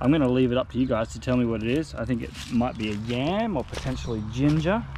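A man at a fairly quick pace, dry sound with no echo, noticeable background noise. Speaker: travel vlogger. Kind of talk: casual vlog chat. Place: open country. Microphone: phone near.

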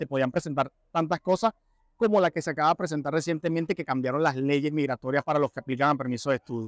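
A man with fairly high pitch and ordinary pitch variation speaks at a very fast pace, the sound dry with no echo against a quiet background. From Venezuela. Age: 30s. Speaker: construction carpenter, immigrant. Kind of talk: interview answers. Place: hall. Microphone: lapel.

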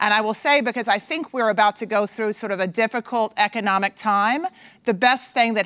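A woman talks with ordinary pitch variation against a quiet background. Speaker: conference speaker. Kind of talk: conference talk. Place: stage. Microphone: lapel.

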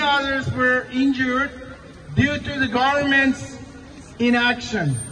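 Raised, projected voice of a man at an extremely high pitch, with light background noise. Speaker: protest speaker. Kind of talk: protest speech. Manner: angry, emphatic, declamatory; grieving, indignant. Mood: angry, solemn. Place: street.

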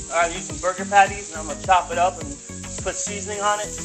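A man's voice over faint music in the background. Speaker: home cook host. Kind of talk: cooking tutorial. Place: kitchen. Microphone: phone near.

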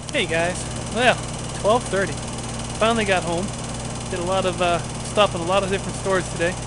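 A man talks at a moderate pace. Loud background noise surrounds a dry sound with no echo. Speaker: vlogger. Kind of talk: casual vlog chat. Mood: relaxed, upbeat. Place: garden. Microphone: phone near.

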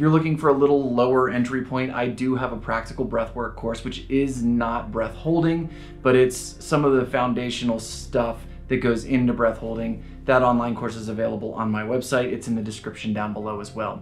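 Faint music plays in the background. Over it, a man talks at a fairly quick pace with fairly even intonation. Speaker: breathwork instructor. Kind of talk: casual explanatory vlog. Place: home room.

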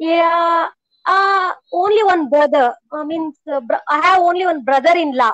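This woman has an extremely high voice and an Indian accent. The sound is dry, without echo. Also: ordinary pitch variation, fairly slow pace, quiet background. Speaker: homemaker, English learner. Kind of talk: casual chat; casual conversation practice. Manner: halting. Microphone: earbuds.

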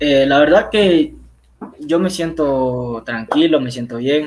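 The pace is very slow. A man talks with ordinary variation in his pitch. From Huaquillas, Ecuador; Ecuador. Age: young. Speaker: footballer; guest. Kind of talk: interview. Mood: calm, pleased.

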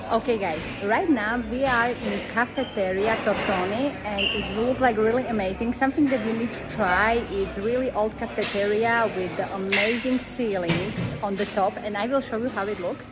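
Against loud background noise, a woman talks at a moderate pace with hardly any pauses and ordinary pitch variation. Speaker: travel vlogger. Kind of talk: casual vlog chat. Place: cafe. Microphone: phone near.

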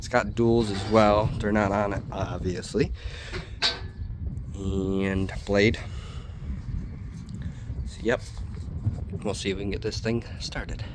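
The speech moves at a very slow pace with long, frequent pauses and ordinary pitch variation, and background noise is noticeable. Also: man, fairly low pitch for a man. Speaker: farmer vlogger. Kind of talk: casual vlog chat. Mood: relaxed, matter-of-fact. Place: farm machine. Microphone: phone near.

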